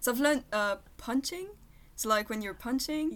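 On a very clean recording with a silent background, a woman talks in a French accent. Her pitch varies in an ordinary way. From France, near Paris (Versailles). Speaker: veterinary student. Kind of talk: casual interview.

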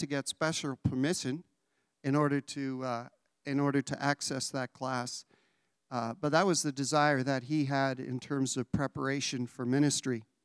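A man with a plain, everyday voice, fairly high in pitch, at a moderate pace, in a dry, close sound with no echo on a very clean recording with a silent background. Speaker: college staff member introducing speaker. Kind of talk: introduction and prayer. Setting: chapel with audience.

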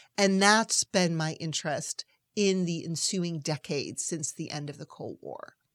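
A plain, everyday voice, a woman with an American accent speaks at fairly low pitch with ordinary pitch variation and big swings in loudness, in a very clean recording with a silent background and a dry, close sound with no echo. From US Northeast (Massachusetts). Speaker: foreign policy expert, nonprofit president. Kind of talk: interview.

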